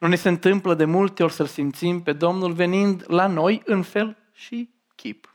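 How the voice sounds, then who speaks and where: A woman with a fairly low pitch, ordinary pitch variation and an unremarkable speaking voice talks at a fairly slow pace on a very clean recording with a silent background. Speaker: preacher. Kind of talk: sermon.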